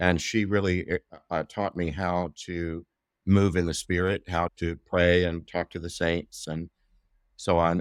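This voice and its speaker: With an American accent, a man speaks at a very deep, low pitch and with fairly even intonation, recorded very cleanly against a silent background with a dry, close sound and no echo. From US South, Southeast Texas Gulf Coast. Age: 60s. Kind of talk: interview conversation.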